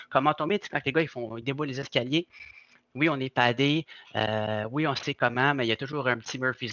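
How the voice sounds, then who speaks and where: Against a quiet background, a man with a plain, everyday voice speaks at medium pitch and a fairly quick pace, his intonation fairly even and the sound dry and close with no echo. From Quebec. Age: 40s. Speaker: stuntman. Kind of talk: casual interview chat.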